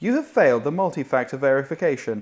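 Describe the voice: A put-on character voice rushes along at a fast pace with big pitch swings. Its tone is slightly mellow. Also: woman, extremely low pitch for a woman.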